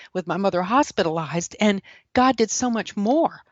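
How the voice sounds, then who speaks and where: A woman with a Southern US accent, medium pitch, ordinary pitch variation and a moderate pace. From South Carolina. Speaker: author and speaker. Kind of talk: testimony.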